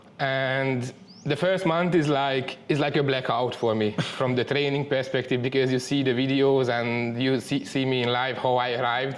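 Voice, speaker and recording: The speaker has a Hungarian accent and a moderate pace, with fairly even intonation and very even loudness. Noticeable background noise runs under the voice. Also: man, medium pitch for a man. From Hungary. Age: 30s. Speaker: muay thai trainee. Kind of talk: interview. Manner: halting.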